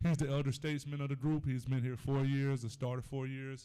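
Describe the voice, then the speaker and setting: A man's dark, mellow tone, fairly quick delivery and monotone, flat intonation. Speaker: high school football head coach. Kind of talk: press conference answers. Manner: loud, boisterous.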